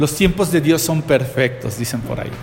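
Man's voice with audible room echo and noticeable background noise. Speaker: pastor. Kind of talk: sermon.

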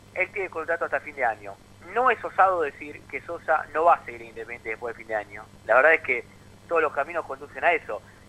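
Speaking at a very fast pace, this voice jumps widely in pitch and swings hard between loud and soft. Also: man, fairly high pitch for a man. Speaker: sports journalist. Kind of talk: sports radio discussion.

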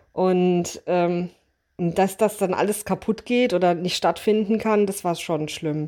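Very slowly, a woman speaks in a dark, mellow tone with fairly even intonation. The recording is very clean, with a silent background. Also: medium pitch for a woman. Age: 30s. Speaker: bride-to-be, theme park horror actor. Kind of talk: casual chat.

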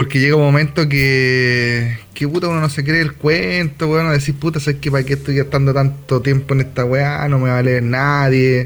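Over noticeable background noise, a man with a Chilean accent speaks at a moderate pace, with fairly even intonation and very even loudness. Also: fairly high pitch for a man, hardly any pauses. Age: 30s. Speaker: podcast co-host. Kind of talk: casual chat.

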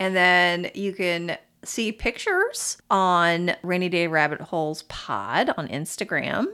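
Recorded very cleanly against a silent background, a woman with a fairly low pitch and a bright, sharp tone speaks at a very slow pace with hardly any pauses and ordinary pitch variation. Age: 40s. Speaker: podcast host, storyteller. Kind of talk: casual storytelling chat. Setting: home office.

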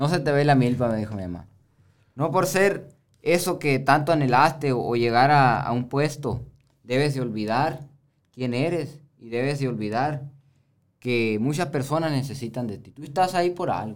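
This man has a plain, everyday voice, fairly high in pitch, with ordinary pitch variation, a moderate pace and big swings in loudness. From Baviácora, Sonora, Mexico. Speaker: rancher and chiltepin grower. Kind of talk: casual conversation.

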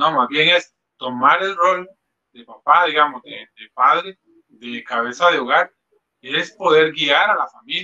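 Speaking at a fairly slow pace, a man with an unremarkable speaking voice and fairly high pitch shows ordinary pitch variation and big swings in loudness. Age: 30s. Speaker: father. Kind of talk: casual chat.

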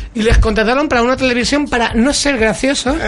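This man's voice sits extremely high and varies in pitch in an ordinary way. Noticeable background noise runs underneath. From Madrid, Spain. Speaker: radio host. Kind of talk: casual chat. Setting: studio.

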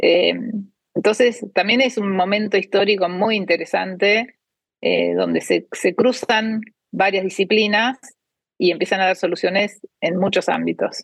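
The voice has vocal fry and moves at a fairly slow pace, its loudness very even and its intonation fairly even. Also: woman, medium pitch for a woman. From Argentina. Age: 50s. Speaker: cancer researcher and biotech startup founder. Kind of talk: interview. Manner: hesitant, many fillers.

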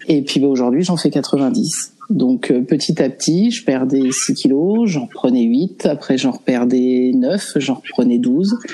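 Very deep and low, a woman's voice moves at a very slow pace with hardly any pauses, its pitch swinging very widely. Her loudness stays very even under noticeable background noise. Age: 30s. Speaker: guest sharing eating disorder experience. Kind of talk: casual interview.

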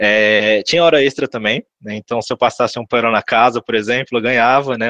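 A man with a normal speaking voice and medium pitch talks at a moderate pace with fairly even intonation, the sound dry and close with no echo against a quiet background. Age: 20s. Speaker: recruitment analyst. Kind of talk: podcast interview.

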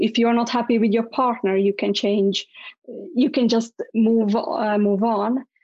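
A woman with a fairly high voice talks at a moderate pace, keeping her intonation fairly even. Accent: Latvian. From Latvia. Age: 30s. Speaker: public speaker, writer and business coach. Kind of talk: interview, personal life story. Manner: halting, with frequent repetitions.

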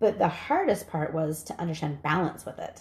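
Somewhat breathy, a woman's voice sits at a fairly low pitch. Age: 40s. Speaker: psychic medium. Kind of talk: casual chat.

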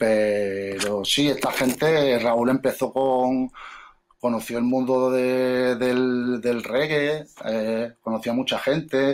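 A man at a very slow pace and medium pitch, with fairly even intonation, very even loudness and noticeable background noise. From Córdoba, Andalusia, Spain. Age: 40s. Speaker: rapper and DJ. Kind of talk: casual chat.

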